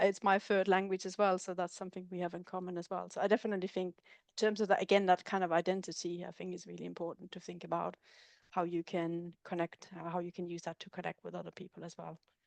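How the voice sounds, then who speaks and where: Very fast and monotone, a woman with a Danish accent talks at a medium pitch with flat intonation and big swings in loudness. The sound is dry and close, with no echo, against a quiet background. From Denmark. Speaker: researcher. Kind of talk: webinar discussion.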